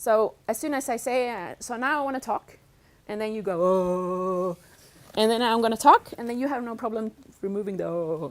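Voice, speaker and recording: A woman speaks at a fairly high pitch. Her pitch varies in an ordinary way. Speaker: professor. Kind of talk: lecture. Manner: fast.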